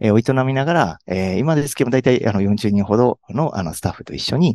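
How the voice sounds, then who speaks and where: Against a quiet background, a man speaks at a very fast pace with lively intonation. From Hyogo, Kansai. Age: 30s. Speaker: tax accountant. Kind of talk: interview. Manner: halting, many fillers.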